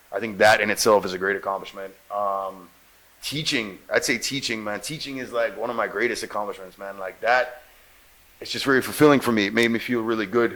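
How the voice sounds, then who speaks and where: The man keeps his intonation fairly level while noticeable noise sounds in the background. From Jamaica. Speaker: actor and radio host. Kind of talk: interview.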